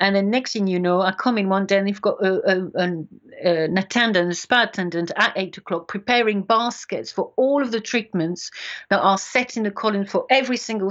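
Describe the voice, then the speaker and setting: A woman talks with a French accent. Her pace is fairly quick. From France. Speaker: beauty industry consultant. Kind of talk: interview.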